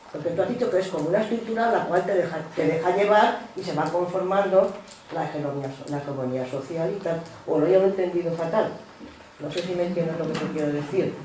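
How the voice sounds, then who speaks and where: Over clearly noticeable background noise, someone talks at a fairly quick pace. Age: 60s. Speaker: seminar participant. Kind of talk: seminar discussion question. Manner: halting.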